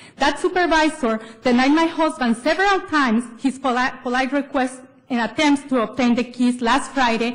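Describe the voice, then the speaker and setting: High-pitched woman at a moderate pace, ordinary pitch variation and very even loudness, with noticeable background noise. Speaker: public commenter. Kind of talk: public comment speech at government meeting.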